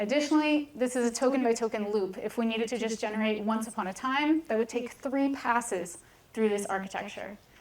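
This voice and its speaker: Fairly quick female speech, fairly high in pitch, ordinary in its pitch movement, over noticeable background noise. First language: Hebrew. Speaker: data scientist, conference speaker. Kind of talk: lecture.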